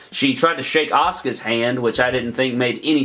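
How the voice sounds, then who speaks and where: The voice belongs to a man. Noticeable background noise runs under it. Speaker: YouTuber reviewing wrestling shows. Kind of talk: casual video review. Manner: fast.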